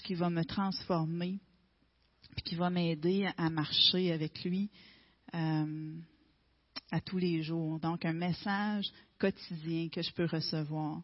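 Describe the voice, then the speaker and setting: Speech comes very slowly. Its pitch shows ordinary variation. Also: woman. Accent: Quebec. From Quebec, Gaspésie. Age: 40s. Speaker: testimony speaker. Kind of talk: testimony. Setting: church.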